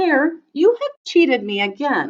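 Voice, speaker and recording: A woman puts on a squeaky, high-pitched character voice and talks at a fairly slow pace. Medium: read story. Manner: slow, drowsy.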